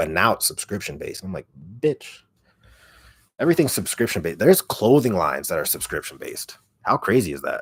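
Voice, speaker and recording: On a very clean recording with a silent background, a man talks at a very fast pace, with big swings in loudness and long, frequent pauses. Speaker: ASMR creator. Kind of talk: casual livestream chat.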